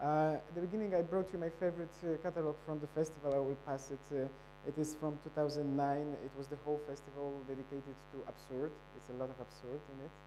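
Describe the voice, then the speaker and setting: A man with a Polish accent, fairly high-pitched with a dark, mellow tone, at a very fast pace with fairly even intonation, in audible room echo. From Poland. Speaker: photo festival director. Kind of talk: conference presentation. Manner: halting.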